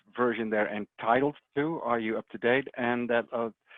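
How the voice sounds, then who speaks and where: At medium pitch, a man speaks at a moderate pace with fairly even intonation. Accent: Dutch. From Netherlands. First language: Dutch. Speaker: software technical support specialist. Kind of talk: webinar presentation. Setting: online webinar. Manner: hesitant, many fillers.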